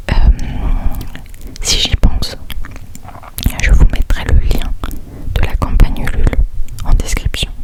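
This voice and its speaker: A woman whispers at a fairly slow pace with long, frequent pauses. Noticeable background noise sits behind her. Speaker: ASMR reader. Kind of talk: ASMR chat to camera. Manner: whispered.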